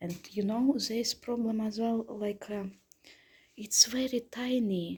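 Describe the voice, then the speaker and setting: Somewhat breathy and dark, mellow in tone, a woman speaks at a medium pitch with a Russian accent. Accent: Russian accent, non-native pronunciation. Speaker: travel vlogger. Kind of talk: hotel room review walkthrough. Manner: halting, hesitant non-native speech.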